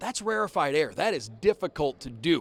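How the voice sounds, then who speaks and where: Speaking in a normal speaking voice, this man sits fairly high in pitch and uses lively intonation. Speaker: radio play-by-play announcer for hockey team. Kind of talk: sports interview answer, conversational analysis.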